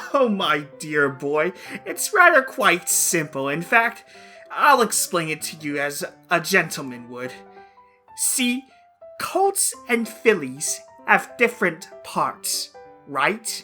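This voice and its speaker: Using a put-on character voice, a man talks at a fairly slow pace in a high pitch, with faint music in the background. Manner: theatrical, mock-polite.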